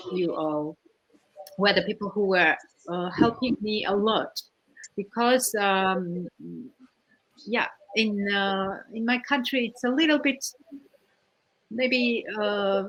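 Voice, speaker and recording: A woman speaks at a very slow pace with long, frequent pauses. Her medium pitch shows ordinary variation. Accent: Georgian. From Georgia. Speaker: winemaker. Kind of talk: panel discussion. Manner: halting.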